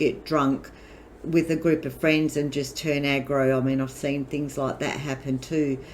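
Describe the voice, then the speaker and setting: The speaker has an Australian accent. The intonation stays monotone and flat. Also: woman. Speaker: gamer youtuber. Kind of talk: casual chat.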